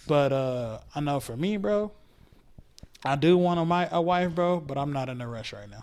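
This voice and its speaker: A man with an American accent and a plain, everyday voice speaks at a moderate pace and fairly high pitch, with ordinary pitch variation and big swings in loudness. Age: 20s. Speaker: podcast guest. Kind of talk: casual chat.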